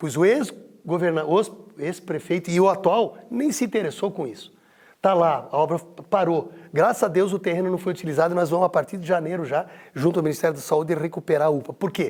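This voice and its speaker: A man talks fairly quickly, his pitch high and its variation ordinary. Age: 60s. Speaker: mayoral candidate, politician. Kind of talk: interview. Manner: animated.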